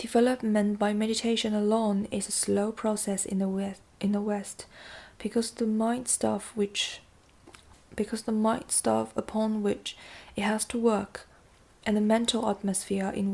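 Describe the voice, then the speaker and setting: A woman's somewhat breathy, dark, mellow voice at medium pitch with a slight non-native accent, flat monotone intonation and a moderate pace. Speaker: amateur audiobook narrator. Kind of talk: audiobook reading of nonfiction.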